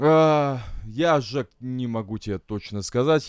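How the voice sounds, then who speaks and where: With lively intonation, a man speaks in a normal speaking voice. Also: dry, close sound with no echo. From Estonia. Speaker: guest living abroad in England. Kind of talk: casual banter chat.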